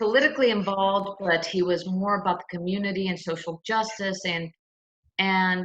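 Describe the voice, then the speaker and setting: An American-accented woman speaks at a medium pitch and a moderate pace, with ordinary pitch variation. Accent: slight Southern accent, comes out sometimes. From US South, Lakeland, Florida (Polk County). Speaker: attorney. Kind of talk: interview. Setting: video call from home.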